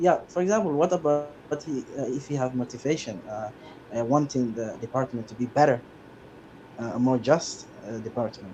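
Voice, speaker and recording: Speaking with a non-native accent, a man keeps a moderate pace and a medium pitch with ordinary pitch variation. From Somalia. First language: not English. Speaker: commenter joining stream. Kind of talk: heated debate. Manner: halting.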